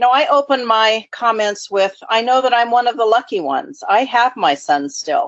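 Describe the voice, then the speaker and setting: A woman's fairly high-pitched voice at a moderate pace, with very wide pitch swings. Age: 60s. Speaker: nonprofit founder and recovery advocate. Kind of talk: interview.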